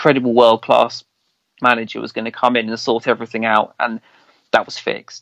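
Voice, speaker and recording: A man at a medium pitch with an English accent, fairly quick pace, and a dry, close sound with no echo. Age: 40s. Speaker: football fan podcaster. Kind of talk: casual chat.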